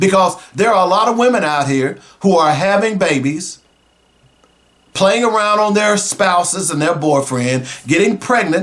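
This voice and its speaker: Speaking at a moderate pace, a man with a high pitch uses lively intonation and an animated tone while keeping his loudness very even. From US South, Arkansas (Little Rock). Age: 60s. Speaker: radio talk show host. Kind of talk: talk radio monologue.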